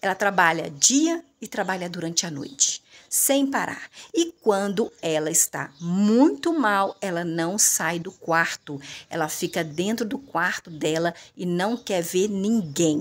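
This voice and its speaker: A woman's intonation is lively while her pace stays very slow. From Brazil. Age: 40s. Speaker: online video creator and thrift shop seller; home vlogger. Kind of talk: casual monologue to viewers; casual vlog chat. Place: home room. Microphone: phone near.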